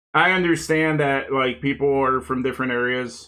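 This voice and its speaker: The speaker has a normal speaking voice. The delivery is moderately paced. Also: man. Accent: American. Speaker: streamer building model kits. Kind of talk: casual live stream chat while building.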